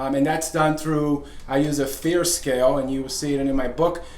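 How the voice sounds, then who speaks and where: The voice holds a fairly even intonation amid audible room echo and noticeable background noise. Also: man. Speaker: fitness coach and author. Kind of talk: video talk. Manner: fast; halting, many fillers.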